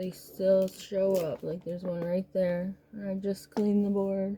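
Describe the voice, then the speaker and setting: Soft-spoken woman at medium pitch, fairly slow pace, noticeable background noise behind her. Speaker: crafter. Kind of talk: tutorial. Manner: casual.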